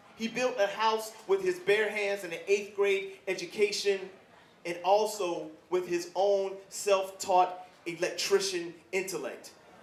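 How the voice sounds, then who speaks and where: A man speaks fairly slowly in a high pitch with flat, monotone intonation. Background noise is noticeable. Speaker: spoken word poet. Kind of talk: spoken word poetry performance. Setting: live event.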